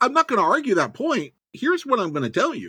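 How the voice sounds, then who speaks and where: This man's voice is raised and projected, with a bright, sharp tone. He moves at a moderate pace through very wide pitch swings. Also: very clean recording, silent background. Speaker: author. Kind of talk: casual interview chat.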